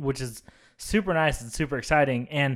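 This man has a plain, everyday voice, pitched fairly high, and he talks at a fairly quick pace in a very clean recording with a silent background. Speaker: podcast host, film discussion. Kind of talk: casual chat.

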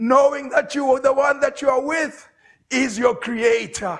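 A man speaks at an extremely high pitch. His pace is fairly slow. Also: fairly even intonation.

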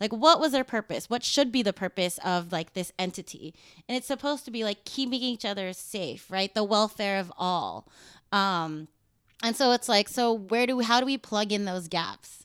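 A woman with a West Coast American accent speaks at medium pitch. Her pace is moderate, and the sound is dry and close with no echo. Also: ordinary pitch variation, very clean recording, silent background. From Los Angeles. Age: 30s. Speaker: activist. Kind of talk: interview. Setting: at her home.

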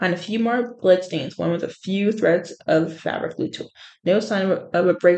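Pitch varies in an ordinary way as someone is reading aloud in a natural voice.

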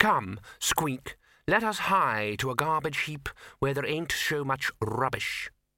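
Putting on a character voice, a man speaks slowly at a medium pitch with a bright, sharp tone and big pitch swings.

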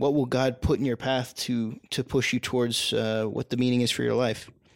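A man talks with fairly even intonation in a plain, everyday voice. The recording is very clean, with a silent background. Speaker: podcast co-host. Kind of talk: casual discussion podcast. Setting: studio, in a living room.

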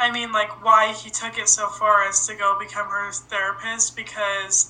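The speaker has an unremarkable speaking voice and talks at a moderate speed. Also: woman. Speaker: podcast host. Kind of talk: casual chat.

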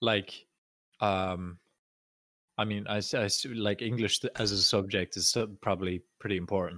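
A man with a fairly low pitch, bright, sharp tone and fairly even intonation, with long, frequent pauses, in a dry, close sound with no echo on a very clean recording with a silent background. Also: moderate pace. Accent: Irish. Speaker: podcast co-host. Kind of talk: casual chat.

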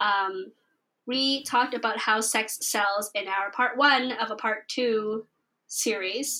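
A woman's fairly high voice, bright and sharp in tone, with fairly even intonation. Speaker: podcast co-host. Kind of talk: casual chat. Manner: fast.

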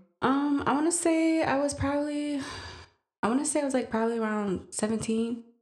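In a room with audible echo, a woman with an American accent talks at a fairly quick pace, her high voice showing ordinary pitch variation and very even loudness. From Green Bay, Wisconsin, US Midwest. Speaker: podcast guest, mother. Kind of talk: casual interview.

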